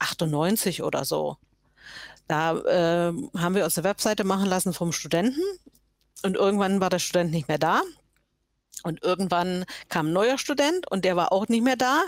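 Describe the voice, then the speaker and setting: A woman talks at a moderate pace and medium pitch, with lively intonation and very even loudness, pausing long and often. The recording is very clean, with a silent background. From Saxony, eastern Germany (Görlitz). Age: 60s. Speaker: web developer. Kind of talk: casual interview.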